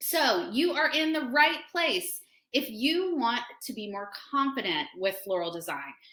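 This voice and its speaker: A woman projects a raised voice at a high pitch with a bright, sharp tone and very wide pitch swings. Her delivery is animated and fairly slow. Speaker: florist and floral design teacher. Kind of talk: webinar tutorial. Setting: online webinar.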